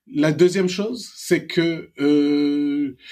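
A man has an ordinary speaking voice with a fairly high pitch and ordinary pitch variation. The recording is very clean, with a silent background. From Senegal, Dakar. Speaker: serial entrepreneur and investor. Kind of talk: interview.

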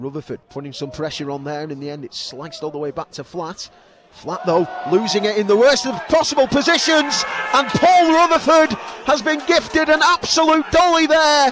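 A man's extremely high, excited voice with very wide pitch swings, over noticeable background noise. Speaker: football commentator. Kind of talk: live football commentary. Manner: rapid, excited, fast play-by-play; gets dramatic at key moments.

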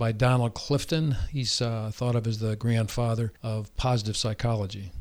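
An ordinary speaking voice at a moderate pace in a very clean recording, silent background. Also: man. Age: 60s. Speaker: dentist. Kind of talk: interview. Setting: studio.

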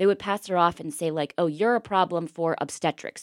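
Here is a woman with a normal speaking voice, fairly low in pitch, with ordinary pitch variation at a fairly quick pace. The sound is dry and close with no echo, on a very clean recording over a silent background. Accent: American. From Pittsburgh, Pennsylvania. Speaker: former TV news reporter. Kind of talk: interview conversation.

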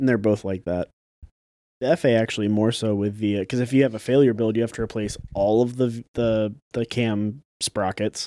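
A plain, everyday voice belongs to a man talking at a moderate pace, medium in pitch with fairly even intonation. The sound is dry and close with no echo, on a very clean recording with a silent background. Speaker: car parts worker, podcast co-host. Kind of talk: casual chat while drinking beer.

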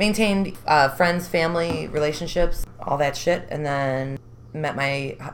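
With a Chicago accent, the speaker keeps a moderate pace. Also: woman. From Chicago, North Side. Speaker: recovering addict. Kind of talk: testimony.

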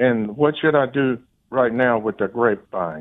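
Speaking at a moderate pace with a Texan accent, a man has medium pitch and ordinary pitch variation. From Texas (Corpus Christi). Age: 70s. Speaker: caller. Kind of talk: call-in question. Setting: phone call.

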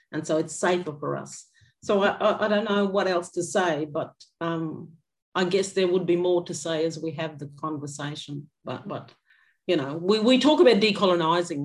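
Using ordinary pitch variation, a woman speaks in an Australian accent. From Queensland, Atherton Tablelands. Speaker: educator and artist. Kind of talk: lecture. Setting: video call.

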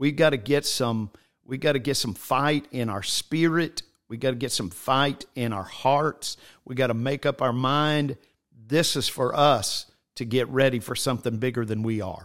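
The speaker is a man with a plain, everyday voice. He sits at a medium pitch that shifts in an ordinary way. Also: moderate pace. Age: 60s. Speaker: bishop, church leader. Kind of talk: casual religious conversation. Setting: church office, streamed online.

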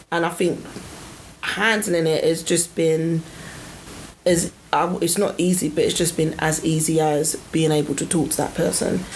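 Fairly low-pitched woman with a London accent, monotone and flat, at a fairly slow pace, with very even loudness and noticeable background noise. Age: 30s. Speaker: podcast co-host. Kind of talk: casual chat. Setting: studio.

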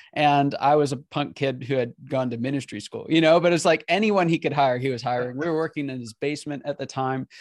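An unremarkable speaking voice moves at a fairly quick pace with ordinary pitch variation. Hardly any pauses break it, and the sound is dry and close with no echo. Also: man, fairly high pitch for a man, quiet background. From Pennsylvania. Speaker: business coaching company CEO. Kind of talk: podcast interview.

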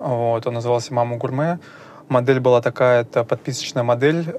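A man speaks at a medium pitch. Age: 20s. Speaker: data analyst and dark kitchen owner. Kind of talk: interview. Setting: office. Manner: halting, many fillers.

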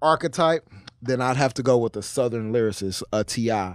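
A man with an unremarkable speaking voice talks at a fairly quick pace with ordinary pitch variation, captured dry and close with no echo. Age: 20s. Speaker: podcast co-host. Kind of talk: casual chat.

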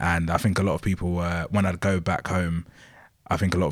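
In a London accent, someone talks at a very fast pace with monotone, flat intonation on a very clean recording with a silent background. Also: man. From Bromley, south-east London, England. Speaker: music journalist and writer. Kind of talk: podcast interview, casual discussion.

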